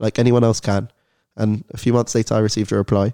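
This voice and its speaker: Talking at a very fast pace in a London accent, a man with a fairly low pitch and a dark, mellow tone keeps a monotone, flat intonation, recorded dry and close with no echo. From London, England. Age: 19. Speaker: student and Holocaust educator. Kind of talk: podcast interview.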